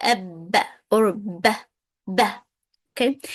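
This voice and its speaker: The background is quiet as a woman talks. Her sound is dry and close, with no echo. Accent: Arabic. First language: Arabic. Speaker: Arabic teacher. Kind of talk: tutorial.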